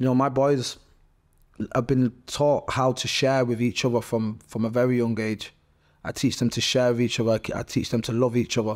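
A man speaks in monotone, flat intonation. The recording is very clean, with a silent background. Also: medium pitch for a man, moderate pace. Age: 30s. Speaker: MMA fighter and clothing brand founder. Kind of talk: casual chat.

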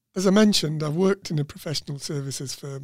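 The recording is very clean, with a silent background and a dry, close sound with no echo. A man speaks in an ordinary speaking voice with ordinary pitch variation. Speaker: podcast host. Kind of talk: interview. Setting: studio.

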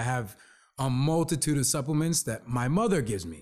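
A man's fairly high-pitched voice with lively intonation, on a very clean recording with a silent background. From New Jersey, born in the Bronx. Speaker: brand consultant. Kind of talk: casual interview. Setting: in the Bronx, traffic audible. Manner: halting, many repetitions.

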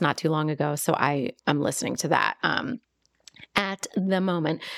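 In a very clean recording with a silent background, a woman talks in a plain, everyday voice at a moderate pace, with ordinary pitch variation and a dry, close sound free of echo. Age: 40s. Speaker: podcast co-host, small business owner. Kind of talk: casual chat.

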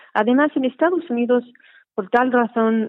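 A woman speaks with ordinary pitch variation. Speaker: trainee priest in church. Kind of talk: casual interview. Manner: halting.

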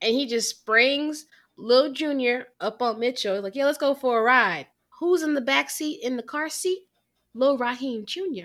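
On a very clean recording with a silent background, a woman with a Southern US accent speaks in an animated tone at a high pitch. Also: moderate pace. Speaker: film review podcast co-host. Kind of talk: casual chat.

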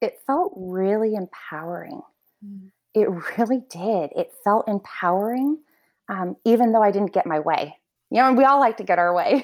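In a very clean recording with a silent background, a woman speaks at a moderate pace and fairly high pitch. Hers is an unremarkable speaking voice, with lively intonation. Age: 30s. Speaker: house manager. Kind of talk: casual interview.

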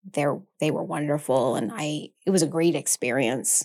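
A woman with an American accent talks at a moderate pace in a very deep, low pitch, with vocal fry and lively intonation. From Maine, US (South Portland). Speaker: nurse anesthetist and yoga instructor. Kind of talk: interview. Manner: animated.

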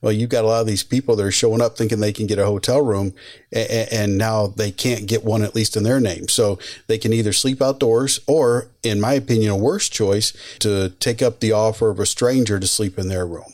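Speaking at a fairly quick pace with fairly even intonation, a man with an American accent and a medium-pitched, plain, everyday voice is heard on a very clean recording with a silent background. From Michigan. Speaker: retired police sergeant, podcast host. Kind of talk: casual interview conversation.

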